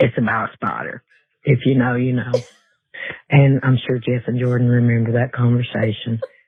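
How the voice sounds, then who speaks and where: A man at medium pitch and a moderate pace, with monotone, flat intonation and long, frequent pauses. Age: 60s. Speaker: caller. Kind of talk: voicemail message.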